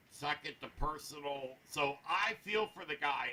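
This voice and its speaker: A man talks while noticeable background noise plays behind him. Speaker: anime review show co-host. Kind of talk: casual discussion. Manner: loud.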